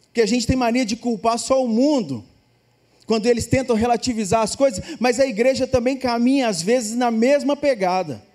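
This man's voice sits at an extremely high pitch, with a dark, mellow tone, ordinary pitch variation and a moderate pace. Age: 40s. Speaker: pastor. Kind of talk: sermon.

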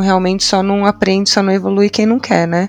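The woman's voice sits at a medium pitch and moves at a very fast pace. Noticeable background noise can be heard. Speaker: podcast co-host. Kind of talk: casual interview chat.

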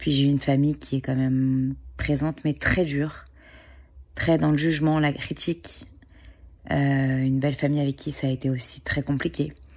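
A woman speaks at a moderate pace with long, frequent pauses, her very deep, low voice held at very even loudness and a monotone, flat intonation on a very clean recording with a silent background. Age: 30s. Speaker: podcast host and parenting coach. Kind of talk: personal testimony.

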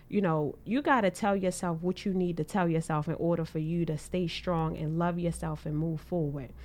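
Here is a woman with a fairly low pitch and ordinary pitch variation. She has an unremarkable speaking voice. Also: very clean recording, silent background. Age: 20s. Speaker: podcast host guest.

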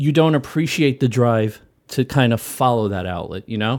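A man with an American accent talks at a moderate pace in an ordinary speaking voice. The recording is very clean with a silent background. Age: 40s. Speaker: maker. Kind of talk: casual chat.

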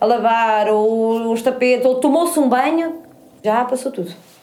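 This woman's voice sits at a fairly high pitch. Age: 40s. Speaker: rural woman interviewee, public employee. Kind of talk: personal testimony.

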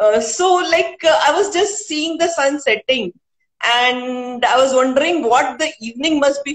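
A woman with an Indian accent speaks at a fairly slow pace. Her voice is high-pitched. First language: Hindi. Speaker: poet and author, civil servant. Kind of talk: interview. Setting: live video stream. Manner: hesitant, many fillers.

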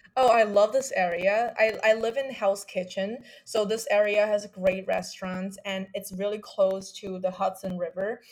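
Against noticeable background noise, a woman talks at a moderate pace with hardly any pauses. Her medium-pitched voice keeps fairly even intonation. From China. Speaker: college student. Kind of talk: casual chat.

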